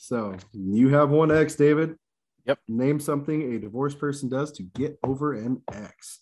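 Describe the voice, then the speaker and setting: This man has a normal speaking voice with a fairly high pitch and ordinary pitch variation at a moderate pace. His loudness swings a lot against a quiet background. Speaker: game show host. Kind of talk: game show host reading survey questions and ruling on answers.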